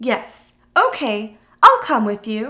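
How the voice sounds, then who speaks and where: A woman's put-on character voice at a fairly high pitch. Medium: read story.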